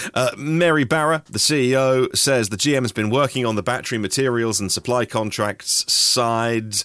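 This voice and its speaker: At a moderate pace, a man with a medium pitch speaks with ordinary pitch variation and very even loudness over noticeable background noise. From Norfolk, eastern England. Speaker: EV news podcast host. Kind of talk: solo news podcast. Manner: conversational, with fillers.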